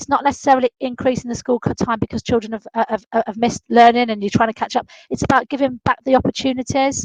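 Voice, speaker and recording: A woman's high, flat, monotone voice at a very fast pace with hardly any pauses, in a dry, close recording with no echo. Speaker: school leadership advisor. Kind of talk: online training webinar.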